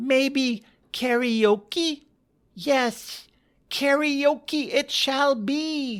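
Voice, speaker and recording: A high-pitched, put-on character voice in a very clean recording with a silent background. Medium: read story.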